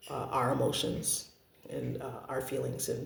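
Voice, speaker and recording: Noticeable background noise and audible room echo accompany the man's voice. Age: 30s. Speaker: parent vlogger sharing family experience. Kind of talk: personal testimony to camera. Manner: hesitant, with frequent fillers.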